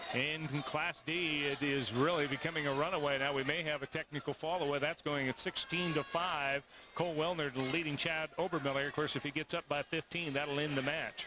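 There is noticeable background noise as a man speaks in a monotone, flat intonation at a very even loudness, the sound dry with no echo. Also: moderate pace. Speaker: sports commentator. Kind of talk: live sports commentary. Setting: archive broadcast of a wrestling arena event. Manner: steady, formal play-by-play delivery. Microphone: headset.

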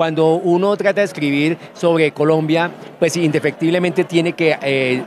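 There is light background noise as a man speaks with a high pitch and very even loudness, with a dry sound and no echo. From Colombian Llanos, Villavicencio, Meta. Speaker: writer. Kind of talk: interview. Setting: book fair. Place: hall. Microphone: handheld.

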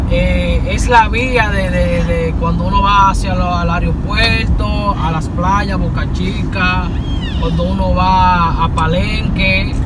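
Delivered at a very slow pace, the speech has a dry sound with no echo over loud background noise. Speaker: vlogger passenger. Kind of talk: casual vlog narration. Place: car. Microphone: phone near.

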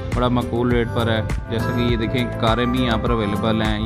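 Loud music plays in the background. Over it, a man talks at a moderate pace. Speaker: vlogger filming the shopping trip. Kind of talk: casual vlog chat. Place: shop. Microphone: phone near.

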